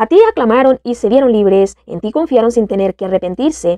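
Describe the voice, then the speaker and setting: With an unremarkable speaking voice, a woman talks at a moderate pace, her fairly high pitch rising and falling with lively intonation. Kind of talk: scripted narration of psalm, fervent prayer.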